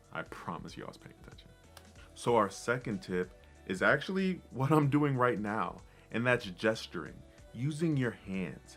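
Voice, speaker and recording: Over music in the background, a man at medium pitch speaks at a moderate pace with very wide pitch swings and big swings in loudness. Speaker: motivational speaker. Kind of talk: tutorial.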